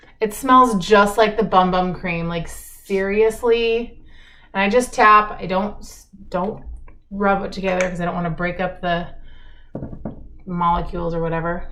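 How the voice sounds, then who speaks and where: Speaking at a fairly slow pace with long, frequent pauses, a woman at medium pitch keeps a fairly even intonation amid big swings in loudness and audible room echo. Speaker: makeup vlogger. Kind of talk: get ready with me chat. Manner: casual, chatty.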